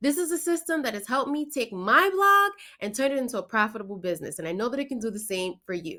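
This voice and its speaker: Talking at a very fast pace with a New York accent, a woman uses a high, bright, sharp voice with very wide pitch swings and an enthusiastic tone. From New York, the Bronx. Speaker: blogger and online business coach. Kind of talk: promotional talk to camera.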